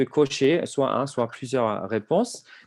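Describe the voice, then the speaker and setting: Over a quiet background, a man with a non-native accent talks at a medium pitch. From outside France. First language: not French (speaking French). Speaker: HR survey software presenter. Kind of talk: webinar presentation. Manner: hesitant, many fillers.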